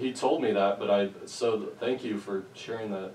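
Room echo and light background noise surround a man speaking at a fairly slow pace. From Nebraska. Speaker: local history interviewer. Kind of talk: interview. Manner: halting. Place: home room. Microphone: camera far.

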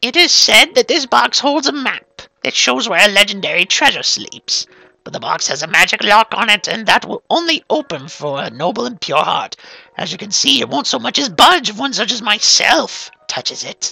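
A man puts on a character voice, high-pitched with very wide pitch swings. He speaks at a moderate pace, and the sound is dry and close with no echo. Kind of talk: amateur let's-play voice acting. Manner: wheedling, persuasive.

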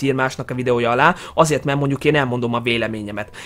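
Animated in tone, a man talks at a very fast pace. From Hungary. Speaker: YouTuber. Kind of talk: casual vlog commentary. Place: home room. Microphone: headset.

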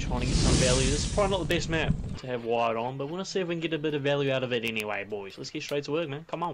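A man talks at a very fast pace with a fairly high pitch and hardly any pauses. Noticeable background noise runs underneath. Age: 20s. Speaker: gaming youtuber. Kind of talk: gameplay commentary. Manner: animated. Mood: joking, playful banter. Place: home room. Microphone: headset.

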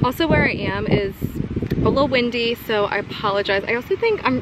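A woman's voice sounds dry with no echo, over loud background noise. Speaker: vlogger. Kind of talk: casual vlog chat. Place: waterside. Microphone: phone near.

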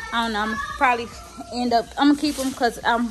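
Behind the voice, music is playing. The woman's pitch varies in an ordinary way. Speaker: homeowner vlogger. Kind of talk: casual vlog chat. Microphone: phone near.

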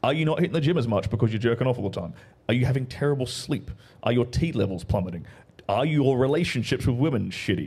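A man talks at a very fast pace with an Australian accent, lively intonation and a somewhat breathy sound. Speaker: guest commentator. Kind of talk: casual chat. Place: studio. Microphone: studio mic.

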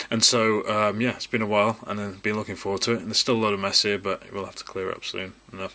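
A man speaks at a very fast pace with hardly any pauses. His fairly low voice stays monotone and flat. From New Zealand. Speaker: YouTube Pokemon card collector and channel host. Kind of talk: casual video, unboxing card packs to camera. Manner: rambling, filler words, chatty. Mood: upbeat, excited. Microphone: phone near.

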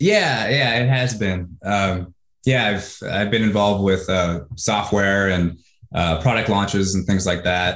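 In a room with audible echo and a quiet background, a man talks at a fairly slow pace. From US Pacific Northwest (Washington State). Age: 30s. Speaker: online marketer. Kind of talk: interview. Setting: video call. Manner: animated. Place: home room. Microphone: earbuds.

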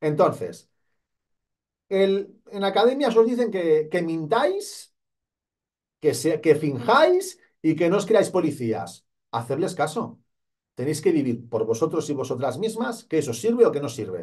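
Against a quiet background, a man speaks fairly slowly in an animated tone at a fairly high pitch, with very wide pitch swings and long, frequent pauses. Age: 40s. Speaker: police exam coach. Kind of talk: motivational talk to camera. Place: studio. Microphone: studio mic.

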